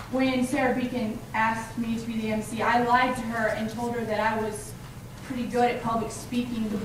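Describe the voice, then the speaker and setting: Amid noticeable background noise and audible room echo, a woman with a fairly high pitch speaks at a moderate pace in a monotone, flat intonation. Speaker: student emcee at campus event. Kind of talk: event speech. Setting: stage with audience.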